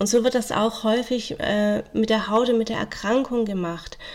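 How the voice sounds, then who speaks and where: A woman with an ordinary speaking voice, fairly high pitch, moderate pace and fairly even intonation. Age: 40s. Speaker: social worker and family counsellor. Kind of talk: interview.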